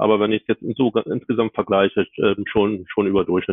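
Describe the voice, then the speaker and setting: His voice is fairly low in pitch. The man's intonation remains fairly level. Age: 50s. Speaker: HR business partner. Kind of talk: interview. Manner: halting, many filler sounds.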